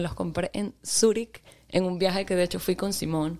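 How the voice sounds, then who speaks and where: A woman's dark, mellow tone at a fairly slow pace, with ordinary pitch variation. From Venezuela, Maracaibo and Caracas. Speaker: DJ and photographer. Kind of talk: casual interview.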